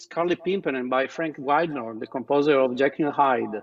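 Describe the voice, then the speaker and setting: Speaking at a moderate pace, a man with an Italian accent has a fairly high pitch. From Italy. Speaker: talent show judge. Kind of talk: judge feedback.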